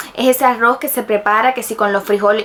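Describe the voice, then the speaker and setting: A woman with a fairly high pitch speaks at a fairly quick pace in an animated tone, with noticeable background noise. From Cuba. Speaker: YouTuber. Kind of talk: casual storytelling vlog.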